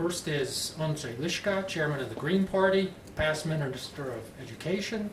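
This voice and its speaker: A man's fairly high voice with lively intonation at a moderate pace, amid noticeable background noise and audible room echo. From United States. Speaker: journalist and panel moderator. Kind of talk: panel discussion moderation. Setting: conference panel with audience.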